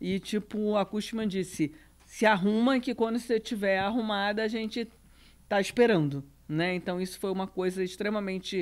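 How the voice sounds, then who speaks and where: A woman with a Rio de Janeiro accent, speaking at a moderate pace. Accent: Rio de Janeiro (carioca) Portuguese. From Brazil, Rio de Janeiro. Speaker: real estate business executive. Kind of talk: podcast panel interview.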